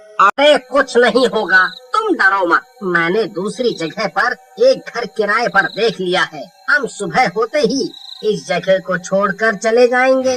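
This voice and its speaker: A man uses a cartoonish character voice with a high pitch. He speaks at a fairly slow pace. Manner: blustery, dismissive.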